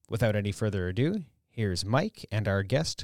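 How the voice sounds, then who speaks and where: A plain, everyday voice: a man at a moderate pace and fairly low pitch, dry and close with no echo, on a very clean recording with a silent background. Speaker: production manager. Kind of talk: scripted introduction.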